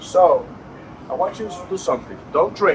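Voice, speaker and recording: With noticeable background noise, a man with a high pitch talks at a moderate pace. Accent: Dominican. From Dominican Republic. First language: Spanish. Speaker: cigar maker presenting at a tasting event. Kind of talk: live tasting presentation to an audience. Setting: cigar lounge event with audience.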